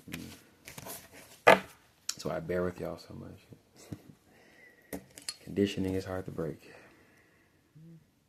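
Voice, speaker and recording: Soft-spoken and relaxed in tone, a man talks at a very slow pace in a very deep, low, monotone voice, with big swings in loudness and long, frequent pauses. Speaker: tarot reader. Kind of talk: tarot reading monologue. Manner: casual, relaxed.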